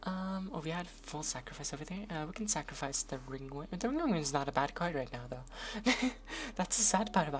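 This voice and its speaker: Speaking at a fairly quick pace, a woman with a fairly low pitch sounds somewhat breathy, her intonation lively. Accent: Norwegian. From Norway. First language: Norwegian. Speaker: streamer. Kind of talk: gaming commentary. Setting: live stream. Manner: casual, hesitant with fillers.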